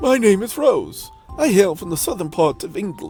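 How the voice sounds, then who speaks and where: A man puts on a character voice, pitched high. He keeps a moderate pace while faint music plays in the background. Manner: sweet, polite.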